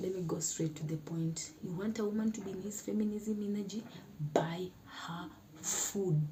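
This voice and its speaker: A woman speaks at a medium pitch. Noticeable background noise can be heard. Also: ordinary pitch variation, moderate pace. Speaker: YouTuber. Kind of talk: casual talk to camera.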